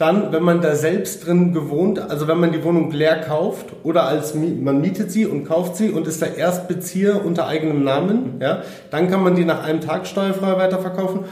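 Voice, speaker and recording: A man's high-pitched voice at a moderate pace, fairly even in intonation with hardly any pauses, plus audible room echo and noticeable background noise. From Germany, Munich (Bavaria). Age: 30s. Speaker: property investor. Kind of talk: interview. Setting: in person.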